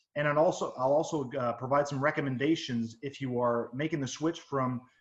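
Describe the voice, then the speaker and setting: The speech comes in a French Canadian accent. Intonation is fairly even, and the pace is moderate. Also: man. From Quebec, Canada. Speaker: technical services director. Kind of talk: webinar presentation. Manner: hesitant, searching for words.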